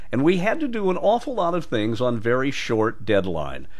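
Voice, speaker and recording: The voice moves at a moderate pace through very wide pitch swings. Noticeable background noise sits behind it. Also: man. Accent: American. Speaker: radio journalist. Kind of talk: audition introduction talking to the listener. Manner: conversational, personable.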